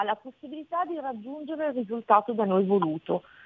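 A plain, everyday voice with lively intonation. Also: woman. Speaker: trust consultant. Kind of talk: interview. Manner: explanatory.

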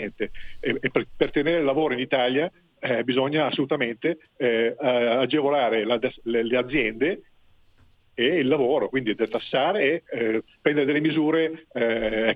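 The speech moves at a moderate pace with ordinary pitch variation, very even loudness and long, frequent pauses. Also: man, medium pitch for a man. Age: 60s. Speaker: retired caller. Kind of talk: radio call-in. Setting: phone call. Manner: halting.

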